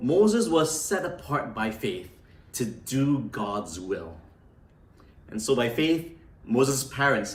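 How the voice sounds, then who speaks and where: Over noticeable background noise and audible room echo, a man with a fairly high voice talks very slowly, his pitch swinging very widely between long, frequent pauses. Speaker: pastor. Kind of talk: sermon.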